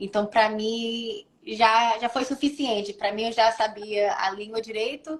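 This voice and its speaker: With an American accent, a woman speaks fairly slowly in a fairly high pitch and fairly even intonation. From United States. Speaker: model. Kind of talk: interview. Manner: halting.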